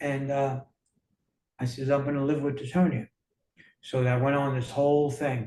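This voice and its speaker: In a New York accent, the speaker's dark, mellow tone comes out somewhat breathy, with monotone, flat intonation. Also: man. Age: 60s. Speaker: motivational speaker. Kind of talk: interview.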